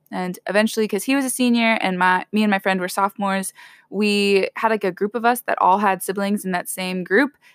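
Woman's unremarkable speaking voice at a medium pitch and moderate pace, fairly even in intonation, dry and close with no echo on a very clean recording with a silent background. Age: 20s. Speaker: college student and host's older sister. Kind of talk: casual chat, personal testimony.

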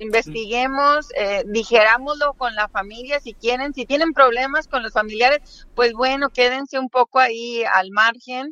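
In a Mexican accent, a woman speaks at a fairly slow pace with hardly any pauses, her high pitch bright and sharp in tone, with ordinary pitch variation, big swings in loudness and a dry, close sound with no echo. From Mexico, State of Mexico. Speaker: political commentator. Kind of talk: casual interview.

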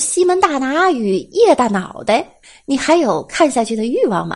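A woman's high-pitched voice with very wide pitch swings, at a fairly slow pace. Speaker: podcast host. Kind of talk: comedic monologue. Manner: playful.

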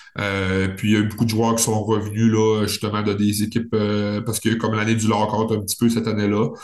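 A man talks at a fairly quick pace with hardly any pauses, in a fairly low pitch. His intonation is monotone and flat, and there is audible room echo. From Quebec, Saguenay region. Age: 30s. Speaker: professional hockey player. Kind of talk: casual interview.

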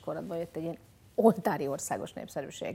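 A woman's fairly low-pitched voice with a dark, mellow tone at a very fast pace, in a very clean recording with a silent background. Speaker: podcast host. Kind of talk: casual chat.

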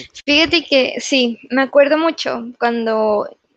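A woman's voice, recorded with a dry, close sound and no echo. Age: young. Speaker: psychologist and psychotherapist. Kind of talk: casual chat. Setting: remote recording from home.

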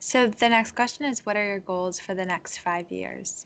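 A woman with a plain, everyday voice, medium in pitch and fairly even in intonation. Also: quiet background. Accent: American. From US Northeast, Connecticut. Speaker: podcast host. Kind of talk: interview conversation.

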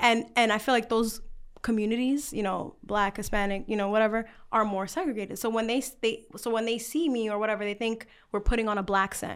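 With an American accent and an ordinary speaking voice, a woman speaks at a fairly quick pace and a fairly high pitch, her intonation fairly even, in a very clean recording with a silent background. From New York, the Bronx. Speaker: content creator and documentary producer. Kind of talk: casual chat. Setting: restaurant.

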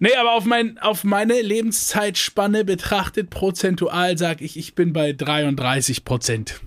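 An animated man at a high pitch and a fairly slow pace, with hardly any pauses. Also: lively intonation. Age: 20s. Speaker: podcast co-host. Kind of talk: casual chat.

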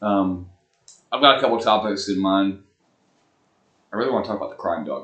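The speech comes in an Alabama accent at a fairly quick pace. Long pauses break it up often. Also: man. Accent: Southern US (Alabama). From US South, Huntsville, Alabama. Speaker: podcast co-host. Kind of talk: casual chat.

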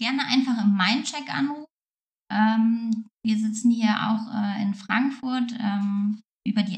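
A woman's voice sits at a fairly high pitch and comes across somewhat breathy. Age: 30s. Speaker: counsellor. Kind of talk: interview.

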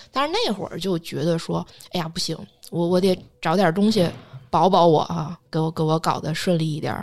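An unremarkable speaking voice from a woman, fairly low in pitch, at a moderate pace with fairly even intonation. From China. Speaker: astrologer. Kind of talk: casual podcast chat, storytelling.

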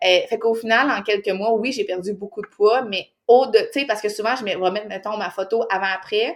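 A woman talks at a fairly quick pace in a fairly high pitch, her intonation fairly even and hardly any pauses breaking her speech. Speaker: fitness mentor, podcaster. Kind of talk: casual interview chat.

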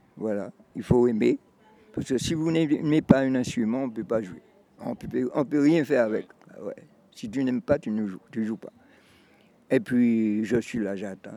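Speaking at a fairly slow pace with long, frequent pauses, a man with a medium pitch and a dark, mellow tone shows ordinary pitch variation and big swings in loudness. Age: 80s+. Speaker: retired musician, percussionist. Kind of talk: interview testimony. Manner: halting, repetitive.

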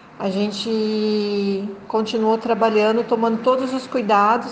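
Over noticeable background noise and audible room echo, a woman with a fairly high pitch talks very slowly in a fairly even tone. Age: 50s. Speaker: forestry engineer, port inspection business owner. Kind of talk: interview.

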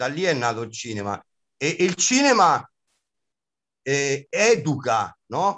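A man with a fairly high pitch makes very wide pitch swings. He speaks at a very slow pace, leaving long, frequent pauses. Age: 50s. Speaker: comic actor and clown. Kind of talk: interview.

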